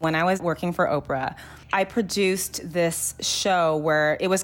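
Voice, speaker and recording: A woman's fairly low voice in a Californian accent, fairly even in intonation, with noticeable background noise. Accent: Californian American. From Los Angeles, San Fernando Valley. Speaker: podcast producer. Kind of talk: interview. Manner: casual, filler-heavy.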